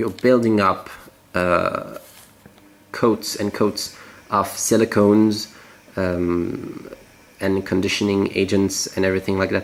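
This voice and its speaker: A man with a French accent speaks very slowly in a fairly low, monotone voice. He leaves long, frequent pauses. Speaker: natural cosmetics maker. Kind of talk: tutorial. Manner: halting.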